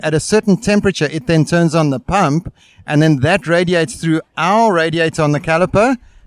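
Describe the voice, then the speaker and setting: A man with a South African accent talks at a fairly quick pace, his high pitch showing ordinary variation. The recording is very clean with a silent background and a dry, close sound with no echo. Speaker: brake company representative. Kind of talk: interview at trade show. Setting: outdoor expo booth.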